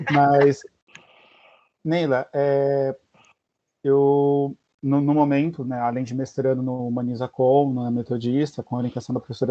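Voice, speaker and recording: The intonation stays flat and monotone. A man delivers it at a medium pitch. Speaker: master's student and radio journalist. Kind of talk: question in academic seminar.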